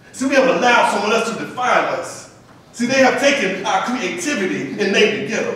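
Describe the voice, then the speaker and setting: Over noticeable background noise, a man talks at a moderate pace with an extremely high pitch. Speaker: spoken word poet. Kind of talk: spoken word poetry performance. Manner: rhythmic, preacher-like call and response.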